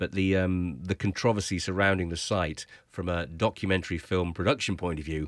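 A man with a very deep, low voice speaks with fairly even intonation, the sound dry with no echo and the background quiet. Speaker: guest. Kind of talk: interview answer. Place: studio. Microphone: studio mic.

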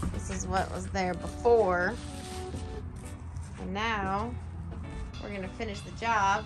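Clear music sits in the background. Over it, a woman speaks at a fairly slow pace. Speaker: family vlogger filming her husband. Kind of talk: casual vlog chat. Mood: cheerful, encouraging. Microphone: phone near.

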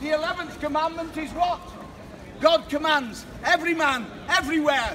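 A man's raised, projected voice at an extremely high pitch, with fairly even intonation over light background noise. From England. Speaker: street preacher. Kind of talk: open-air street preaching. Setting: outdoors, street. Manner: loud, forceful, exhortative. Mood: confrontational, emotional. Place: street. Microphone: camera far.

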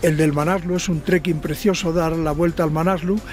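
There is music in the background and a dry sound with no echo. A man speaks at a high pitch with fairly even intonation. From Ávila, Spain. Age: 70s. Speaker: mountaineer. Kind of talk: message to followers from base camp. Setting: outdoors. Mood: warm, friendly. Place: open country.

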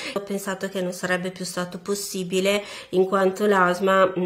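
Monotone, flat intonation from a woman with a fairly low pitch, at a moderate pace over a quiet background. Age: 30s. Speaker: asthma patient. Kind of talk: testimony. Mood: earnest, encouraging. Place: home room.

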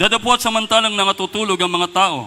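This is a man speaking. His pitch varies in an ordinary way. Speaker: scripture reader. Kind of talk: reading aloud. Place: church. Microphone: handheld.

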